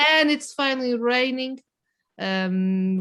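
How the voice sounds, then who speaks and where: A non-native accent with ordinary pitch variation on a very clean recording with a silent background. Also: woman. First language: not English. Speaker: writer. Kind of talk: casual chat. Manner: halting.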